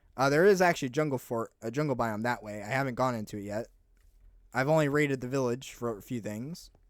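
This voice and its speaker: Captured in a very clean recording with a silent background, a man speaks quite quickly at a medium pitch with ordinary pitch variation. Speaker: gaming youtuber. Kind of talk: gameplay commentary. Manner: halting, many fillers.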